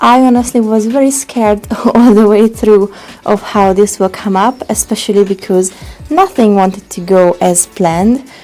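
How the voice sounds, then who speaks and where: Over music in the background, a woman speaks at a moderate pace with a medium pitch and ordinary pitch variation. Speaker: furniture upcycler. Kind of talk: casual vlog talk to camera. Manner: animated.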